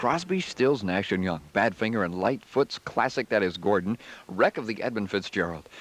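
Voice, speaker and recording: In an American accent, a man with an unremarkable speaking voice talks at a moderate pace and a fairly low pitch, with lively intonation and a dry, close sound with no echo. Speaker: radio disc jockey. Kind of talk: radio DJ aircheck, song intros and station IDs.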